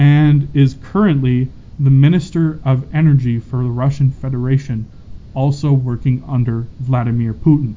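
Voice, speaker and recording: In a plain, everyday voice, a man talks at a moderate pace with medium pitch and fairly even intonation. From Calgary, Canada. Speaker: sports podcast co-host. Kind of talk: casual sports chat.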